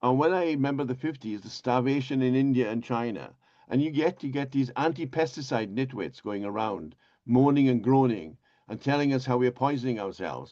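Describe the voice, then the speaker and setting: This man talks at a fairly quick pace and a medium pitch, with ordinary pitch variation. His dark, mellow tone comes over a quiet background. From Wales. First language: Welsh. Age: 80s+. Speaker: agronomist. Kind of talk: webinar talk.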